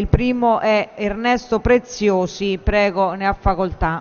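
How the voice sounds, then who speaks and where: The woman speaks at a fairly slow pace. Her intonation stays fairly even. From Italy. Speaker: parliamentary session chair. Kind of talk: formal procedural announcements. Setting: parliament chamber. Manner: formal. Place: hall. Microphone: podium.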